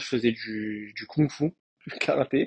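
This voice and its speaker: This man talks at a medium pitch with ordinary pitch variation, recorded with a dry, close sound and no echo. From France, Marseille. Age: 30s. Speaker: professional footballer. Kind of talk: casual interview. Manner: hesitant, many fillers.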